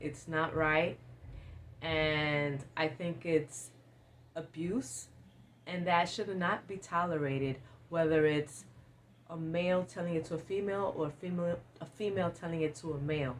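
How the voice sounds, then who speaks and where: A woman with a very deep, low pitch speaks at a moderate pace, taking long, frequent pauses, her pitch varying in an ordinary way. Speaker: lifestyle vlogger. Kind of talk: advice monologue. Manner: sometimes stumbling over words.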